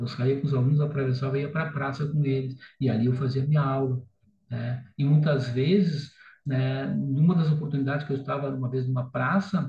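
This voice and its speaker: A fairly high-pitched, somewhat breathy male voice with a dark, mellow tone and fairly even intonation. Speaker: teacher. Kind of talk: lecture. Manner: fast.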